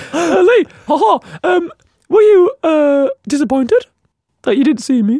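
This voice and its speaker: A put-on character voice, high in pitch, goes at a fairly slow pace with very wide pitch swings and long, frequent pauses. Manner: same voice as usual, unchanged.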